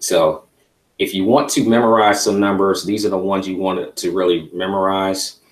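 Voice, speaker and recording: Delivered at a fairly slow pace, a normal speaking voice keeps fairly even intonation. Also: man. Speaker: trading instructor. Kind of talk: online class tutorial.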